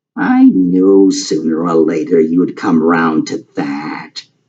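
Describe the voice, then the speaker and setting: A man's put-on character voice, very deep and low, delivered at a very slow pace. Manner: grumbling.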